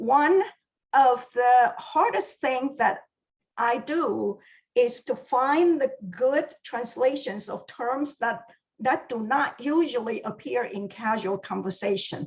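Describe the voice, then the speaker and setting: Speaking at a very slow pace, a woman with a Chinese accent uses a high pitch and lively intonation. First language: Mandarin Chinese. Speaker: library science professor. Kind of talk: scripted presentation. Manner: formal.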